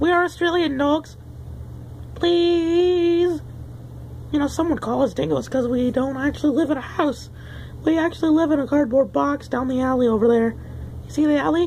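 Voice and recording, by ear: A woman's put-on character voice, high-pitched, at a moderate pace with long, frequent pauses over clear background noise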